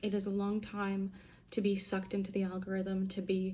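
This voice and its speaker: Here a woman speaks at medium pitch and a moderate pace. Her voice is somewhat breathy, with a dark, mellow tone. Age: 20s. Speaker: vlogger. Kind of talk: casual monologue vlog. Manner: casual, filler-heavy.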